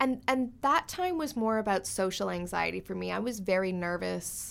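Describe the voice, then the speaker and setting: This woman has a Canadian accent. She talks at a fairly quick pace. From Canada (suburban). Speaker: author and beauty blogger. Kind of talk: casual interview.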